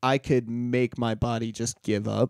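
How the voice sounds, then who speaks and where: A man's voice with a dark, mellow tone, dry and close with no echo. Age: 20s. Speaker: podcast co-host. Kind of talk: casual chat.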